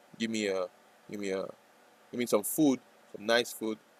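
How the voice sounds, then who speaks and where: A man talks with a non-native accent. His pitch is fairly low. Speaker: day trader streamer. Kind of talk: live trading stream chat. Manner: hesitant, repetitive.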